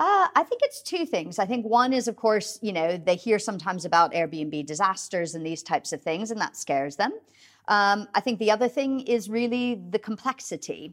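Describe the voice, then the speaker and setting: A woman's normal speaking voice with an American accent, fairly high in pitch, at a moderate pace with lively intonation and a dry, close sound with no echo. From US. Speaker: trade association head. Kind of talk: interview about industry.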